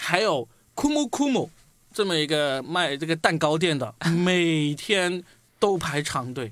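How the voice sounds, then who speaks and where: The delivery is very slow. Its intonation is lively. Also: man, fairly high pitch for a man. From Guangdong. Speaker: podcast host. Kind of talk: casual chat.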